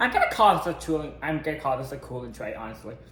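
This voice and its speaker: The tone is animated, with noticeable background noise behind it. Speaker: home baking vlogger. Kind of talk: casual cooking tutorial.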